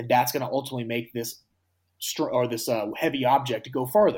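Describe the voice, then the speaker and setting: A man speaks at a medium pitch with an American accent. His voice is somewhat breathy and his pace fairly quick. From USA. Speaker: professional shot putter. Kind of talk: interview. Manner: halting, many fillers.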